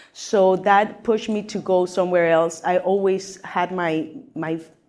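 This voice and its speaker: Speaking at a fairly slow pace, a woman with a fairly low pitch and a Mexican accent keeps her intonation fairly even. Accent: Mexican Spanish accent, unchanged. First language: Spanish. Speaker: actress. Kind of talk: interview on stage. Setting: live event with audience.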